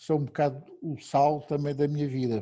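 A man's voice sits fairly high in pitch. It carries a dark, mellow tone. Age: 70s. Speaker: retired economist and rugby club director. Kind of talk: interview.

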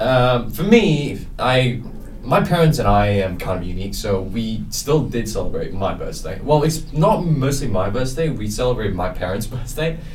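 With music in the background, a man at a medium pitch talks at a moderate pace with very wide pitch swings and hardly any pauses. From South Korea. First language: Korean. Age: young. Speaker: college student guest. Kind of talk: casual chat.

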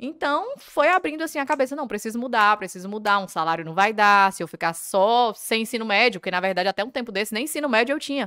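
A woman's fairly high, bright, sharp voice at a very fast pace, with lively intonation. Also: hardly any pauses. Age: 20s. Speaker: police officer. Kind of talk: interview.

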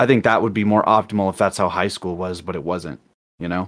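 On a very clean recording with a silent background, a man talks at a fairly low pitch in a plain, everyday voice with fairly even intonation. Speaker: artist and streamer. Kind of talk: casual chat.

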